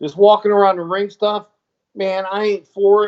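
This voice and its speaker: A man talks at a moderate pace. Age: 50s. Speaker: former pro wrestler and show co-host. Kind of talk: casual chat. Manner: animated.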